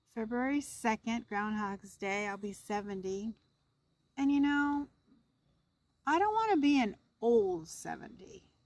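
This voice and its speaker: With a relaxed tone, a woman talks fairly slowly at a fairly high pitch, with ordinary pitch variation and long, frequent pauses. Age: 60s. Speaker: camping vlogger. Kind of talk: casual vlog talk to camera. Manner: relaxed, conversational.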